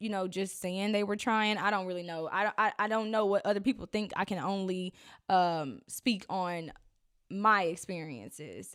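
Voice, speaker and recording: On a very clean recording with a silent background, a woman at a medium pitch speaks at a moderate pace with ordinary pitch variation. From Arkansas, US South. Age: 20s. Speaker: podcast host. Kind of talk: casual personal talk monologue. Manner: conversational, with many fillers.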